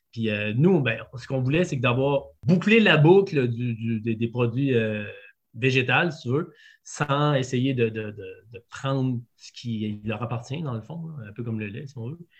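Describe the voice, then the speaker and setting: A man with a Quebec accent talks at a fairly slow pace in a medium pitch, with a somewhat breathy sound. His pitch varies in an ordinary way, while his loudness swings widely. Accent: Québécois French. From Quebec City region, Quebec. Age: 40s. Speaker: food entrepreneur. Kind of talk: interview. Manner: hesitant, many fillers.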